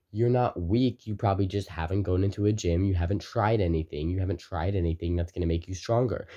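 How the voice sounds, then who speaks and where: A man speaks with a very deep, low pitch and a dark, mellow tone that is somewhat breathy. His pace is fairly quick, his pitch variation is ordinary, and the background is quiet. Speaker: motivational video creator. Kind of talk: motivational talk to camera. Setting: recording to camera. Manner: fast; energetic.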